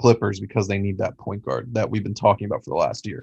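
Against a quiet background, a man with an American accent talks in a plain, everyday voice with fairly even intonation. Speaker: sports podcast co-host. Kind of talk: casual chat. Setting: video call.

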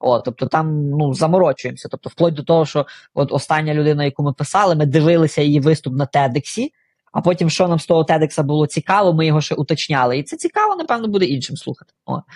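A man's fairly high voice at a very fast pace. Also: ordinary pitch variation, dry, close sound with no echo. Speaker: CEO of a product design company. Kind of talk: casual interview.

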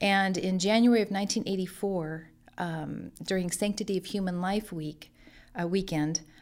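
Recorded very cleanly against a silent background, a woman with a Californian accent speaks at medium pitch and a moderate pace with fairly even intonation. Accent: Californian American. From Central California, Lemoore. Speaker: pregnancy center director. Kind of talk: interview.

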